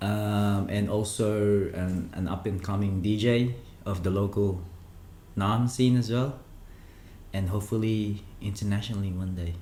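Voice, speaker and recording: In a room with audible echo, a man with a Filipino accent speaks at a fairly slow pace with long, frequent pauses, his fairly low voice dark, mellow and somewhat breathy, the intonation fairly even. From Philippines (Manila, Cavite), then Melbourne, Australia. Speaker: krump dancer and DJ. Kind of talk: casual chat.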